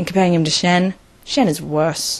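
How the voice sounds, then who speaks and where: A woman at medium pitch and moderate pace, over noticeable background noise. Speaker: video reviewer. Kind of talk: casual video review monologue. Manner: animated.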